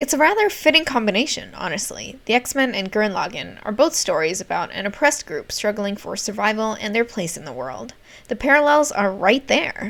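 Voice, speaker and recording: Speaking at a fairly quick pace with hardly any pauses, a woman shows vocal fry at a fairly high pitch. Her pitch swings very widely, and her loudness shifts in big swings. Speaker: art youtuber. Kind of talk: voiceover commentary.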